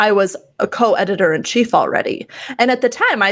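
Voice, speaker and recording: A woman speaks in a normal speaking voice with ordinary pitch variation at a moderate pace, against a quiet background. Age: 30s. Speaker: entrepreneur. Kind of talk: casual chat.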